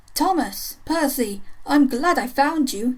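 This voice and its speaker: A woman puts on a character voice, pitched high and delivered at a fairly slow pace. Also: lively intonation. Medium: read story.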